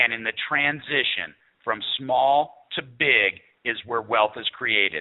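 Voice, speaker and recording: With a plain, everyday voice, a man talks at medium pitch in fairly even intonation. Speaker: network marketing sales executive. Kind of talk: sales pitch. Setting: phone call.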